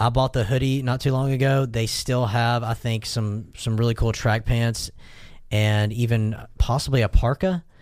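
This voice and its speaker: A man with an unremarkable speaking voice, medium pitch and fairly even intonation at a moderate pace, in a very clean recording with a silent background. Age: 30s. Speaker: podcast guest, fashion enthusiast. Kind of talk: casual chat.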